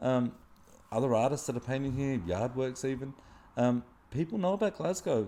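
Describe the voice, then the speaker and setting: A man with an Australian accent, medium in pitch with a dark, mellow tone, lively intonation and a moderate pace. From Australia, Wollongong area. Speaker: muralist, street artist. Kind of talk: casual chat. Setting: artist's studio.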